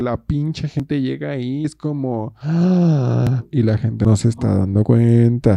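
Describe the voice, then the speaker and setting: A man's dark, mellow tone comes through with ordinary pitch variation in a dry, close sound with no echo. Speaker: podcaster and video creator. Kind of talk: casual solo monologue. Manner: hesitant, with many fillers and repetitions. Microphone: new microphone bought for making songs.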